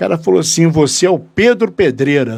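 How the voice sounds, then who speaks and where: A man's voice swings very widely in pitch. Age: 60s. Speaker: radio/web show host and communicator. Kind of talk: live talk show conversation. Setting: studio.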